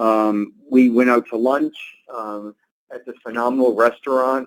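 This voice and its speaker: This man has a Boston accent. His medium-pitched voice is monotone, with flat intonation. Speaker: travel industry executive. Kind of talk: webinar interview answer.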